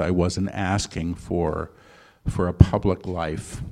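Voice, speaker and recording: This man has a dark, mellow tone and fairly even intonation. The background is quiet. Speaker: channeler and author. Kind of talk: live interview with channeled teachings. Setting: stage with live audience.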